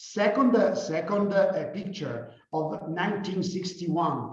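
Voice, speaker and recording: In an Italian accent, a man speaks at a high pitch, with audible room echo around him. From Italy. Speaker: company founder and CEO. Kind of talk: guest lecture. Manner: halting, many fillers.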